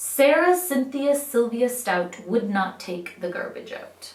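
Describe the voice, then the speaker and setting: Her voice sits high, and her intonation is lively as the woman talks at a fairly slow pace. Noticeable background noise runs under the recording. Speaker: teacher. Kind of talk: children's poetry reading.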